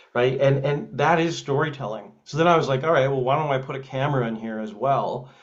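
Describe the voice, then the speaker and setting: With a Canadian accent, a man of medium pitch talks at a fairly quick pace with hardly any pauses and fairly even intonation, and room echo is audible. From Canada, Edmonton, Alberta. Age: 30s. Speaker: film writer and director. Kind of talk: interview. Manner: halting, many fillers.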